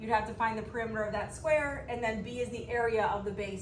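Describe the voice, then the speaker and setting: Speaking at a very fast pace, a woman has a fairly high pitch. Audible room echo and noticeable background noise can be heard. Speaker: math teacher. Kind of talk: recorded lesson.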